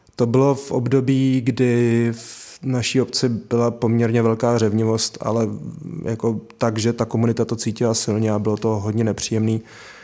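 The man's voice has a dark, mellow tone and a medium pitch. He speaks at a moderate pace with monotone, flat intonation. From Sudetenland village, Czech Republic. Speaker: project manager, former local councillor. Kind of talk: conversational interview. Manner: hesitant.

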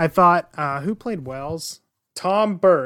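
In a very clean recording with a silent background, the speech moves at a very slow pace. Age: 20s. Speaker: podcast host. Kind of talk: casual chat; reading summary.

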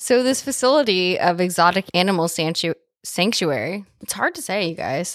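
Recorded with a dry, close sound with no echo, a woman speaks in an ordinary speaking voice with lively intonation. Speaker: podcast host. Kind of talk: casual chat. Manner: casual, profane.

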